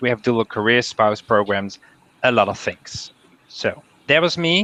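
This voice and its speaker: A man with a bright, sharp tone, recorded with a dry, close sound and no echo. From Netherlands. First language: Dutch. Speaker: university international staff advisor, panel moderator. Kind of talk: online panel discussion. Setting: video call.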